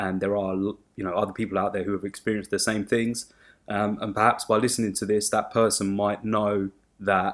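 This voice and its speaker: A man's fairly low voice in a southern English accent, flat and monotone at a fairly quick pace, on a very clean recording with a silent background. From southern England (Sussex, near Brighton). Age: 20s. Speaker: podcast co-host. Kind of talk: casual chat. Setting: home studio in living room.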